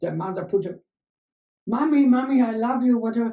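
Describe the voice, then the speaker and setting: A man at a high pitch with a dark, mellow tone, a moderate pace and ordinary pitch variation. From Germany. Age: 80s+. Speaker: journalist and Holocaust survivor. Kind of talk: interview answer.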